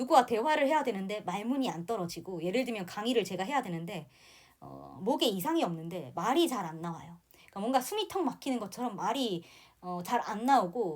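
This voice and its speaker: Speaking at a fairly quick pace, a woman with a medium pitch shows very wide pitch swings and big swings in loudness. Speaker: tarot teacher. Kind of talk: lecture. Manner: unscripted with fillers.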